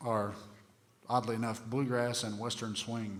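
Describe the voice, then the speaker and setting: Delivered at a moderate pace with fairly even intonation, the voice carries audible room echo. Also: man. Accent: American. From southeastern Ohio (Appalachian region). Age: 40s. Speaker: bluegrass guitarist and music instructor. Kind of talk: music workshop talk with Q&A. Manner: halting, many fillers.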